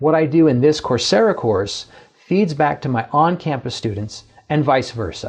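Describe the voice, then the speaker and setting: With very wide pitch swings and a somewhat breathy sound, a man speaks at a moderate pace. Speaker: professor. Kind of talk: lecture.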